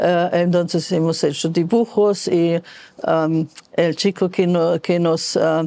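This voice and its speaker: At a very slow pace, a woman talks in a fairly low pitch with a dark, mellow tone. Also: quiet background. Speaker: foreign resident interviewee; interviewee. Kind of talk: testimony. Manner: halting, many hesitations. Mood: warm, nostalgic. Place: home room. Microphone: lapel.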